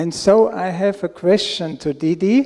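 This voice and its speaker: At a very slow pace, a man with a German accent speaks in a dark, mellow tone at a high pitch. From Austria. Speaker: audience member asking a question. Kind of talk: question at a spiritual Q&A.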